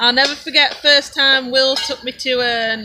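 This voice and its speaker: A woman's raised, projected voice, high in pitch. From England, Derbyshire. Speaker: homesteader. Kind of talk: casual chat. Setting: live stream.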